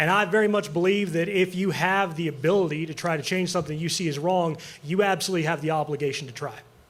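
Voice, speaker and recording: At a very fast pace, a man with an American accent speaks at a high pitch amid audible room echo. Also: fairly even intonation. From Montana. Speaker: political candidate, farrier. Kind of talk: political debate statement. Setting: theater stage with audience.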